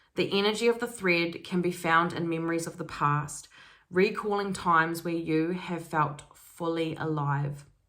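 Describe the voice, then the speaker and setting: Her fairly low pitch holds fairly even intonation as a woman speaks at a moderate pace, with audible room echo. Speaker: spiritual self-development YouTuber. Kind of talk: casual energy reading monologue.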